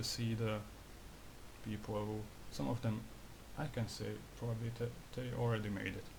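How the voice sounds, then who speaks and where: Audible room echo surrounds a man with a non-native accent. He talks at a fairly quick pace and medium pitch, with fairly even intonation. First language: not English. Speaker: graphic designer, video creator. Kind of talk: casual monologue vlog. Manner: halting, repeats himself; disfluent with filler swearing.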